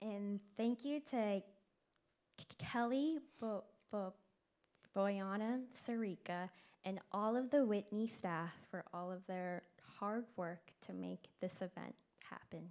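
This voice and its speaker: Taking long, frequent pauses, a woman talks at a very slow pace. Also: medium pitch for a woman, ordinary pitch variation. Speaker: event co-host, stuttering advocate. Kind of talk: event thank-you speech. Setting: stage with audience.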